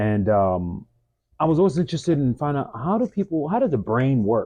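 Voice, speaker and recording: This man's fairly high voice has a dark, mellow tone, very wide pitch swings and a fairly quick pace. The background is quiet. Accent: Mid-Atlantic. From US, DC-Maryland-Virginia area (Bowie, Maryland). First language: French. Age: 40s. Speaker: fitness business owner, stretch therapist. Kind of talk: interview, personal story.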